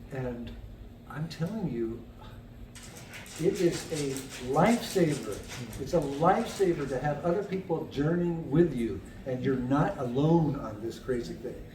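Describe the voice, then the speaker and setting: Lively intonation is broken up by long, frequent pauses. Audible room echo fills the recording. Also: man, fairly high pitch for a man. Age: 70s. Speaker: person with cognitive decline sharing experience. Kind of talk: casual chat. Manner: halting.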